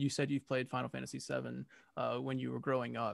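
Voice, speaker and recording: The sound is close and dry, free of echo. A man talks. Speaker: podcast host. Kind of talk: casual interview chat. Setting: video call.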